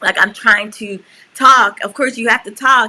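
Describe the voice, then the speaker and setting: A woman talks at a moderate pace with a New York accent. Her pitch variation is ordinary. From New York, USA (born in Suriname, moved at seven). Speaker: podcast co-host. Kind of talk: casual chat.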